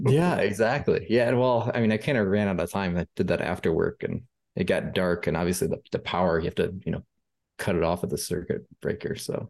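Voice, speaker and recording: A man with an American accent, fairly low in pitch, fast-ish in pace and lively in intonation, against a quiet background. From US Midwest, Rockford, Illinois. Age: 20s. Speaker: applications programmer. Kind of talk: casual interview. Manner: halting, many fillers.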